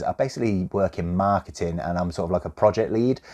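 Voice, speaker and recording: A man with a Midlands accent, a fairly low pitch with ordinary variation and a dark, mellow tone, speaking at a very fast pace against a quiet background. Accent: mild generic Midlands. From West Midlands, England (Coventry). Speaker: YouTuber, game collector. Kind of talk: casual Q&A chat. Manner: informal, filler-heavy.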